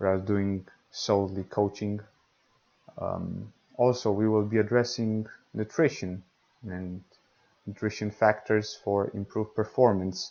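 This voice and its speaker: Speaking with a Romanian accent, a man uses a fairly low pitch and monotone, flat intonation at a fairly slow pace with long, frequent pauses. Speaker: podcast host, tennis coach. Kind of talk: podcast monologue. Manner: hesitant, many fillers.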